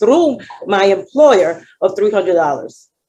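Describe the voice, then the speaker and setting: Speaking in a Dominican accent, a woman has a fairly high pitch. Her tone is dark and mellow, with ordinary pitch variation. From Dominican Republic. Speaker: client giving testimony. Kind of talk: testimony.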